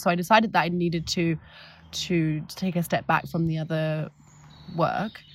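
Somewhat breathy voice with a London accent, on a very clean recording against a silent background. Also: woman. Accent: southern English (London). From London, England. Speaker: tour guide and business founder. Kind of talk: casual interview chat. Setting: outdoors. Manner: hesitant, many fillers.

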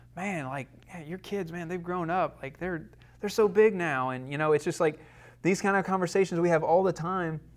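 Using fairly even intonation, a man with a Southern US accent talks at a moderate pace with big swings in loudness. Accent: US South. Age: 30s. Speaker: church class teacher. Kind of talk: lecture. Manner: halting.

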